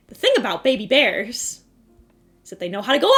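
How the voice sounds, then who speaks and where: Music plays in the background while the speaker talks at a moderate pace. The pitch swings very widely. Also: woman. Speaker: vtuber streamer. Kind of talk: casual chat, storytelling. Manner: animated.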